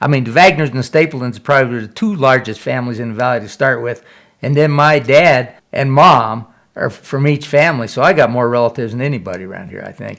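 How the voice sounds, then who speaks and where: A man's unremarkable speaking voice with an American accent, medium in pitch, at a fairly quick pace, with ordinary pitch variation and big swings in loudness. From Colorado, Aspen area. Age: 60s. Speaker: newspaper columnist and rancher. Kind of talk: interview testimony with read-out column excerpts.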